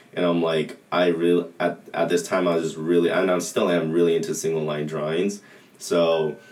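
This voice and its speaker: Over noticeable background noise, a man with an American accent speaks in a flat monotone at a moderate pace, his pitch very deep and low. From Southern California, Anaheim. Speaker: college soccer player. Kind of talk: casual interview.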